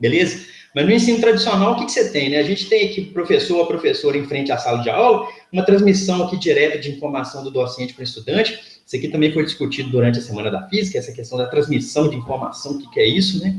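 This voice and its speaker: Very fast and fairly high-pitched, a man's voice swings very widely in pitch. Audible room echo and noticeable background noise surround him. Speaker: physics professor. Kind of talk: lecture. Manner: hesitant, repeats words.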